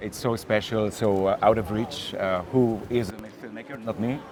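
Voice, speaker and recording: A man talks in a fairly low voice. Noticeable background noise can be heard. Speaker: filmmaker. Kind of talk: masterclass talk. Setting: stage with audience. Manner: halting, many fillers.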